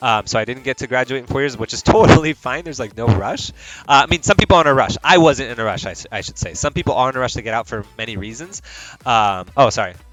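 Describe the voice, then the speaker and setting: A man with an American accent at a very fast pace, medium pitch and ordinary pitch variation, with big swings in loudness and noticeable background noise. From Mexico. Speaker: streamer. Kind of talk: casual livestream chat. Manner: rambling, many fillers and restarts.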